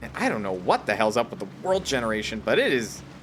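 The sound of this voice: An American accent at a moderate pace, with music in the background. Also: man.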